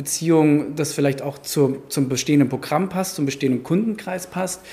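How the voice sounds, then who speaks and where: Dark and mellow in tone, a man's fairly high voice moves with ordinary pitch variation. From Germany, Frankfurt. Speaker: gallery owner. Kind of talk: interview. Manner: hesitant, many filler sounds.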